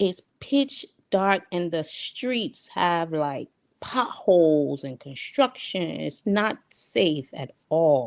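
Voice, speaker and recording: With a Liberian accent, a woman speaks at a very slow pace, her pitch swinging very widely. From New York, US (Queens), Liberian parents. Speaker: diaspora guest on talk show. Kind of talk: interview storytelling.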